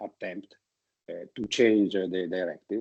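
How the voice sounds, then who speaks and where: With an Italian accent, a man speaks in a fairly low pitch and with fairly even intonation. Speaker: politician. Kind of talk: keynote speech. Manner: halting.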